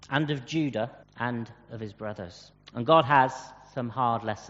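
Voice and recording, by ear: The speaker's pitch varies in an ordinary way while reading aloud in a natural voice.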